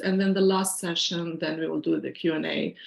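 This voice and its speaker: A woman with a Syrian accent, fairly low in pitch, at a moderate pace. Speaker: financial planner and workshop presenter. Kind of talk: online workshop presentation.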